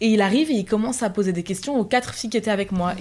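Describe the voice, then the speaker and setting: A woman with a plain, everyday voice, fairly high in pitch, with fairly even intonation. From northern France, Picardy. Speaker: university student. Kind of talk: casual chat.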